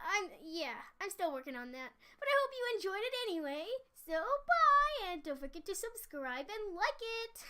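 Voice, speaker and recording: The put-on character voice sits at an extremely high pitch, with very wide pitch swings. Its pace is moderate. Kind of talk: in-character audiobook reading. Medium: read story. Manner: casual, upbeat.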